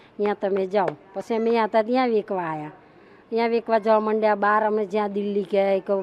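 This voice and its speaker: An ordinary speaking voice carries fairly even intonation from start to finish. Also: woman. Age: 50s. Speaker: street food cook. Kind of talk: interview.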